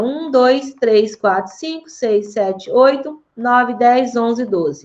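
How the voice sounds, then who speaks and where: Her pitch sits high and her intonation is lively. The woman speaks at a fairly slow pace. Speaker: math teacher. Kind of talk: online class lesson.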